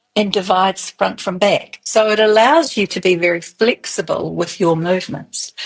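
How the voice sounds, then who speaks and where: A woman's medium-pitched voice in a New Zealand accent, with fairly even intonation. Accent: Kiwi. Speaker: early childhood movement expert. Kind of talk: interview.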